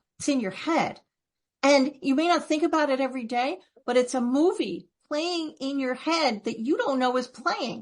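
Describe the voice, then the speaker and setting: With lively intonation and a high pitch, a woman speaks at a moderate pace against a quiet background. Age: 60s. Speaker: author. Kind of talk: interview. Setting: podcast recording.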